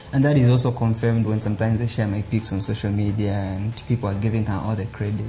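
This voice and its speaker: Amid noticeable background noise, a man speaks at a very fast pace, at medium pitch and with fairly even intonation. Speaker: comedian. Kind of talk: casual interview. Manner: loud; hesitant, filler words.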